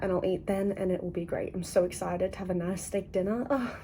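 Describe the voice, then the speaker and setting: A somewhat breathy woman talks at a fairly quick pace with a dark, mellow tone and fairly even intonation. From Australia. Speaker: book vlogger. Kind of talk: casual vlog talk to camera.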